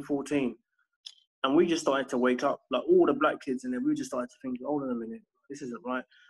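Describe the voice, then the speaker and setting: A man talks with a London accent. His pitch sits fairly high. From southwest London. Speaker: homeschooling parent and education consultant. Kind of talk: casual interview.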